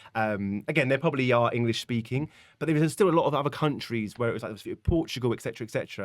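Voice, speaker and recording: A man with a British accent talks very fast at a medium pitch, recorded very cleanly against a silent background. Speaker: comedy content creator. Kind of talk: interview conversation. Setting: live podcast.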